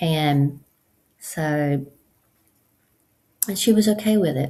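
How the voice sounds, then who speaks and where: Very slow speech from a woman, very deep and low in pitch, with a dark, mellow tone and lively intonation. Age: 60s. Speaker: support group host. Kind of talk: casual monologue. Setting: at home on computer. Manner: hesitant, many fillers.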